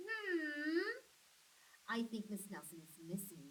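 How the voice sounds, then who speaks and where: A woman's put-on character voice, fairly high in pitch with very wide pitch swings, at a fairly slow pace over clear background noise. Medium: read story. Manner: slow, musing.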